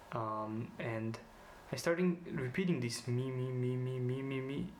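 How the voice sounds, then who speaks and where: Fairly slow male speech in a Slovene accent, medium pitch with ordinary pitch variation, and audible room echo. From Slovenia. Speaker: student vlogger. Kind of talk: personal vlog presentation. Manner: hesitant, many fillers.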